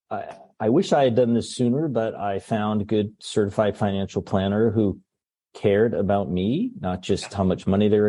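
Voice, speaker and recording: The speaker is a man with a plain, everyday voice and a fairly low pitch. His intonation stays fairly even at a moderate pace. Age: 60s. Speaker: pediatrician. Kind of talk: casual chat.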